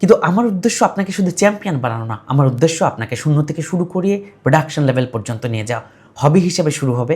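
A man with a normal speaking voice, fairly high in pitch, with lively intonation. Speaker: programming and robotics instructor. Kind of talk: course introduction.

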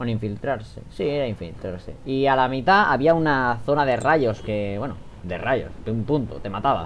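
The speaker has a Spanish accent and talks at a moderate pace. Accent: Peninsular Spanish. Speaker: gaming video creator. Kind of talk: let's play commentary. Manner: animated.

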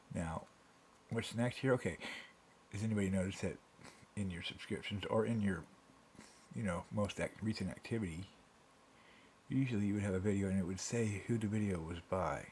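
A man with a fairly low pitch and ordinary pitch variation speaks at a fairly quick pace, yet leaves long, frequent pauses. Light background noise can be heard. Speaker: home video uploader. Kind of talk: angry rant at the camera about site changes. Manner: irate, sarcastic, exasperated, repeating points and jabbing with rhetorical questions; fast, emphatic, rambling and self-interrupting. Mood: annoyed, ranting. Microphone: phone near.

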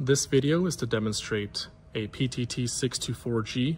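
A man speaks at a very slow pace in a somewhat breathy voice with ordinary pitch variation. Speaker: product demonstrator. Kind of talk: product demo tutorial. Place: office.

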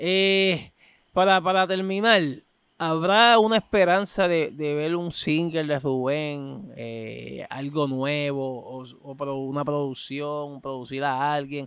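A man's fairly high voice at a very slow pace, with ordinary pitch variation, big swings in loudness, and a dry sound with no echo. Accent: Puerto Rican. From Puerto Rico. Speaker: podcast host, freestyle rapper; podcast host. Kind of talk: casual interview; interview question. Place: open country. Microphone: studio mic.

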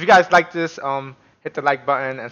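Ordinary pitch variation from a male speaker. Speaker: streamer, reaction youtuber. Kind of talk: casual vlog chat. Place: home room.

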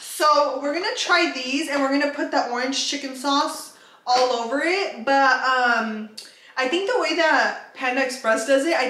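A woman speaks in a raised, projected voice at a fairly slow pace. The room echo is audible. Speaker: food vlogger. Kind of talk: casual vlog chat. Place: kitchen. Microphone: phone near.

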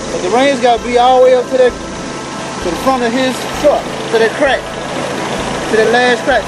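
Loud noise sits behind the speech. The man keeps a moderate pace. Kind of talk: casual chat with a passenger. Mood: relaxed, friendly. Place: boat. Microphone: camera far.

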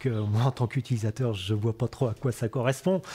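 Somewhat breathy, a man talks in a dark, mellow tone with ordinary pitch variation. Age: 50s. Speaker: cereal farmer. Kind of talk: interview testimony. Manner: hesitant, many filler sounds. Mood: calm, friendly. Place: farm machine.

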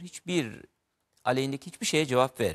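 A man's voice sits at a medium pitch, set against a quiet background. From Turkey, Mardin; Turkey. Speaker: writer; guest. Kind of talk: interview about literature. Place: studio. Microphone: lapel.

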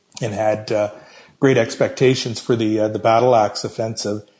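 Somewhat breathy with a dark, mellow tone, the man speaks at a medium pitch with ordinary pitch variation. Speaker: military historian and author. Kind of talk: interview. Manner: halting, many fillers and repeated words.

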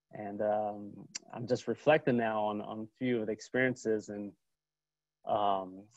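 With an American accent, a man talks at a fairly slow pace in monotone, flat intonation, his voice dry with no echo against a quiet background. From California. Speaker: library assistant. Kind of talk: interview. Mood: warm, positive. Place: home room. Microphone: earbuds.

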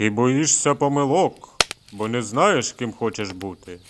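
A man speaks in a booming, put-on character voice. His pitch sits in the middle range, and his pace is fairly slow. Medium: read story. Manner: menacing, ominous.

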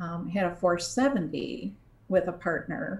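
Very slow and somewhat breathy, a woman speaks at a fairly low pitch with lively intonation. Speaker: interviewee. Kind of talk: interview answer. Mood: warm, nostalgic. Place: home room. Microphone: video call.

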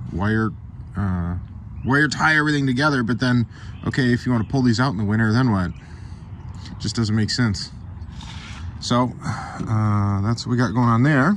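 Over light background noise, a man speaks at a moderate pace with ordinary pitch variation and long, frequent pauses. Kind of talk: tutorial walkthrough. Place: street. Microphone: phone near.

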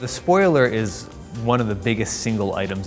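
A man is speaking. Faint music plays behind him. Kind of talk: interview answer. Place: studio. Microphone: lapel.

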